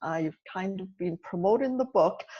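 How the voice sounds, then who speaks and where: Against a quiet background, a woman speaks with a Welsh accent. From Wales. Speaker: nurse and author. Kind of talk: podcast interview.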